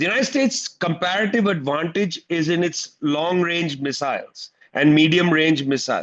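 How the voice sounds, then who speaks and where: A man with an Indian accent speaks at a moderate pace in a high voice, his tone animated and his intonation lively, with hardly any pauses. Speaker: political commentator. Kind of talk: panel talk at an online teach-in. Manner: animated, emphatic.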